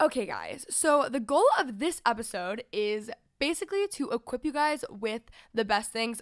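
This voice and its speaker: A woman at a high pitch with lively intonation and a moderate pace, against a quiet background. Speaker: podcast host. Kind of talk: casual podcast chat. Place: studio. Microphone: studio mic.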